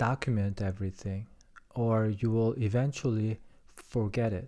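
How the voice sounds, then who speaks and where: A man speaks at a very slow pace in a dark, mellow tone, with a non-native accent. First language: not English. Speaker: podcaster. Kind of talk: reading aloud; casual chat. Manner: halting.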